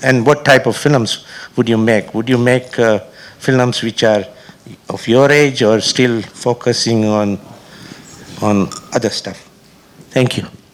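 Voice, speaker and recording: With noticeable background noise, a man of medium pitch talks at a fairly slow pace in fairly even intonation, leaving long, frequent pauses. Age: 70s. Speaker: audience member, film festival founder. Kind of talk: audience question.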